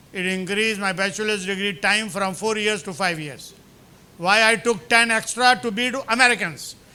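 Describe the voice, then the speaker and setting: Raised and projected, this man's voice has a bright, sharp tone and a high pitch with ordinary variation. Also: moderate pace. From India. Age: 70s. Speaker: professor. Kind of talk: lecture. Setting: lecture hall with audience. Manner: animated.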